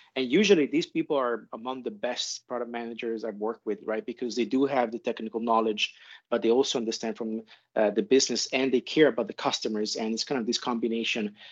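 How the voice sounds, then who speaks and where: Very fast delivery from a man at medium pitch, with fairly even intonation. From Italy. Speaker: chief product officer. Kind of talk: panel discussion. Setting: call.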